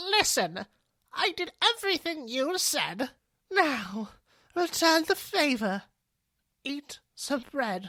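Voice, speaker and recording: A put-on character voice, female-sounding and high-pitched for a woman, swings very widely in pitch. It moves at a very slow pace, with long, frequent pauses. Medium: read story. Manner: casual, jokey.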